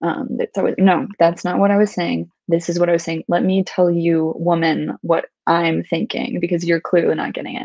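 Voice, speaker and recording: A woman's fairly low voice at a moderate pace, with ordinary pitch variation, hardly any pauses, a dry sound with no echo and a quiet background. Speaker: book club co-host. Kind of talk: book discussion. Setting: live stream. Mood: warm, appreciative. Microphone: video call.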